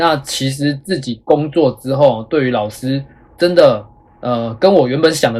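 Man with a fairly high pitch, a normal speaking voice and ordinary pitch variation. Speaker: schoolteacher and podcast host. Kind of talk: casual chat.

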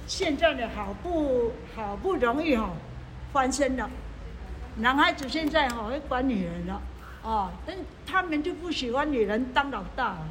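A woman with a high voice and lively intonation speaks at a fairly slow pace, leaving long, frequent pauses, amid noticeable background noise and audible room echo. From Hualien-Taitung, Taiwan. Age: 70s. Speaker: retired community association founder. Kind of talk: life story interview. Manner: halting, many filler sounds.

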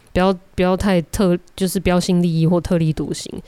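In a Taiwanese accent, a woman talks at a moderate pace with a fairly low pitch. The recording is very clean, with a silent background. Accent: Taiwanese Mandarin. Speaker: podcast host. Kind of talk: solo monologue. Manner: halting, many filler sounds.

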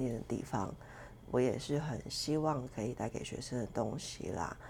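A woman's voice with a dark, mellow tone and vocal fry. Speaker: podcast host and fitness coach. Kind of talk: solo podcast self-introduction, casual. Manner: casual, chatty, hesitant with fillers.

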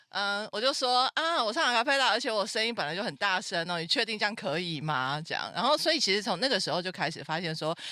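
Delivered at a very fast pace in an animated tone, the speech comes through in a very clean recording with a silent background. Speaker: podcast host. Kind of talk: casual interview chat. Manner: animated, loud laughter.

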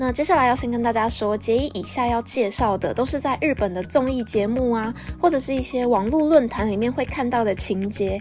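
With hardly any pauses, a woman speaks at a fairly quick pace in a fairly high pitch with ordinary pitch variation. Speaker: podcast host. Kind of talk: solo podcast monologue. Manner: animated.

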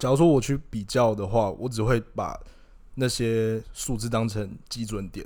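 In a dark, mellow tone, a man speaks fairly slowly at medium pitch with fairly even intonation. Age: 20s. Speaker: podcast co-host, freelance marketer. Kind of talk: casual chat.

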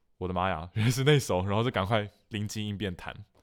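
An unremarkable speaking voice from a man, fairly low-pitched and fairly quick, with ordinary pitch variation on a very clean recording with a silent background. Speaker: musician and podcast host. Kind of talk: casual chat.

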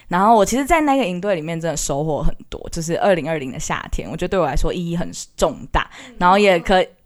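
With lively intonation and a fairly low pitch, a woman talks at a very fast pace. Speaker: university student, aspiring teacher. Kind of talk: casual chat.

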